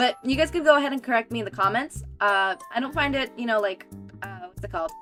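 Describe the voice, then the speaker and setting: Soft-spoken, very fast talk with lively intonation and music in the background. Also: woman. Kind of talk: casual, conversational. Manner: soft slur on some sounds.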